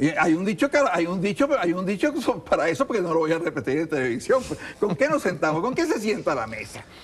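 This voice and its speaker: A man's very fast, high-pitched speech with very wide pitch swings, over noticeable background noise. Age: 70s. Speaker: political candidate. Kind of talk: TV interview.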